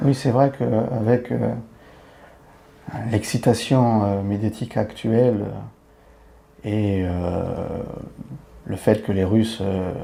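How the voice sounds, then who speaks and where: Noticeable background noise sits behind a man with fairly low pitch. He talks at a very slow pace with ordinary pitch variation. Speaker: podcast host, expat youtuber. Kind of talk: podcast interview.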